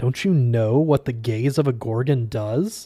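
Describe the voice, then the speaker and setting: In a very clean recording with a silent background, a put-on character voice speaks at a fairly slow pace with very even loudness. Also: man. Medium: read story.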